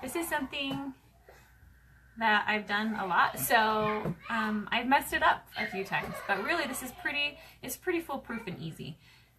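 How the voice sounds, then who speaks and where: Over noticeable background noise, a woman talks at a moderate pace in a fairly high pitch, with very wide pitch swings and big swings in loudness. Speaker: sewing crafter. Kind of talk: sewing tutorial. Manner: casual, chatty.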